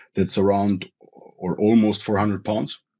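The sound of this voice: A man speaks at a fairly slow pace in a fairly low voice with a slightly mellow tone and a slightly husky edge.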